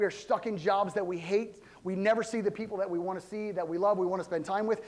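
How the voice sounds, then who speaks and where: A man speaks loudly in a high pitch. His tone is animated, and his pitch varies in an ordinary way. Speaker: pastor. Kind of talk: sermon. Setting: church.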